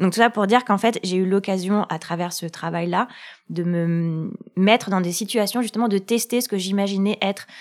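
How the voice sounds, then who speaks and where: A woman has an unremarkable speaking voice, medium in pitch with fairly even intonation. She talks at a fairly quick pace in a very clean recording with a silent background. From France. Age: 30s. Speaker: love coach. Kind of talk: casual chat.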